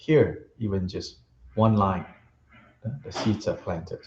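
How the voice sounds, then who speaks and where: The man speaks at a fairly slow pace. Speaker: Buddhist teacher. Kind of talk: dharma teaching. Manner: loud.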